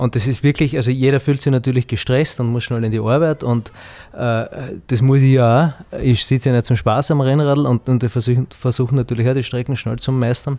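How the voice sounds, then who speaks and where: A man's dark, mellow voice at medium pitch, with fairly even intonation and a fairly quick pace. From Austria, southern Styria (Heimschuh). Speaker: winemaker. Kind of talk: casual chat. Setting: outdoors.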